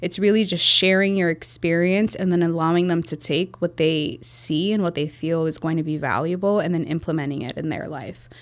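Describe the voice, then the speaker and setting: With a Chicago accent, the speaker moves at a fairly quick pace with hardly any pauses and ordinary pitch variation. The recording is very clean, with a silent background. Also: woman, fairly low pitch for a woman. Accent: Chicago American English. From Chicago, US Midwest. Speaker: entrepreneur, marketing agency founder. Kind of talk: interview conversation.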